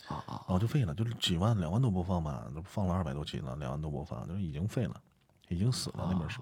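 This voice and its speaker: A man with a very deep, low voice talks at a very fast pace, his lively intonation edged with vocal fry. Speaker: amateur audiobook narrator. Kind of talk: casual chat. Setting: live stream co-host call.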